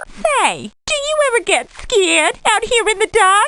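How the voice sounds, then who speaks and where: An extremely high-pitched, put-on character voice is heard. It moves at a fairly slow pace. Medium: video game.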